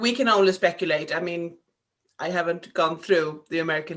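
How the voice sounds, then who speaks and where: A woman speaks with a Swedish accent. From Sweden. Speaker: podcast host. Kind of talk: casual chat. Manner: halting.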